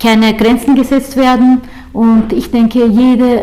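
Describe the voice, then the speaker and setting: Noticeable background noise runs beneath speech delivered fairly slowly. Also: woman. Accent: Turkish. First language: Turkish (speaking German). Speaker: labour chamber councillor. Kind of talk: interview. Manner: halting, many filler sounds.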